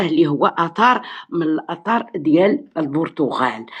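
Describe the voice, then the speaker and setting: Speaking at a fairly slow pace, a woman with a Moroccan accent uses a fairly low pitch and lively intonation. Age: 70s. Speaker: teacher. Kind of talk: live stream discussion.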